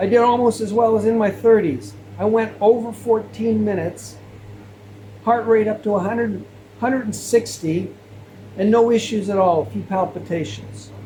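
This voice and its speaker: At a moderate pace, a man speaks against noticeable background noise. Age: 60s. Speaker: health vlogger. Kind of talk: monologue to camera.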